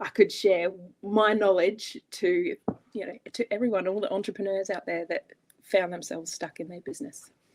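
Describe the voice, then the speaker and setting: Here a woman is talking. She speaks with an Australian accent. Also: dry, close sound with no echo. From Australia, Adelaide. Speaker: business operations coach. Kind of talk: interview.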